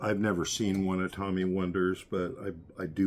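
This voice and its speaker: A man speaks with a very deep, low pitch at a moderate pace. The recording is very clean, with a silent background. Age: 60s. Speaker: magic prop maker. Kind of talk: tutorial. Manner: hesitant with fillers.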